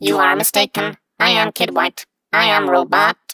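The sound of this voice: Someone talks at a moderate pace in a put-on, raspy character voice.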